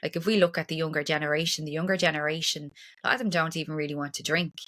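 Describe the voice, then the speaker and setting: A woman's fairly low voice with a bright, sharp tone and fairly even intonation, on a very clean recording with a silent background. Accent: Irish. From Ireland. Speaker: breathwork and trauma practitioner. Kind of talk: podcast interview.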